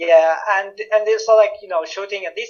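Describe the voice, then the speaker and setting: A man talks with a Syrian accent. His pace is moderate and his pitch variation ordinary. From Syria, Damascus. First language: Arabic. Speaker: political activist and researcher. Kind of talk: interview testimony. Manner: halting, many fillers and restarts.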